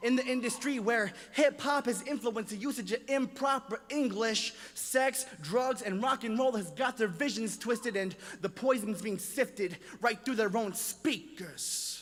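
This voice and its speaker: A man talks at a fairly slow pace in an extremely high voice with ordinary pitch variation. Noticeable background noise runs underneath. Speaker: spoken word poet. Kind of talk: spoken word poetry performance. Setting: live stage, auditorium audience. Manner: rhythmic, impassioned.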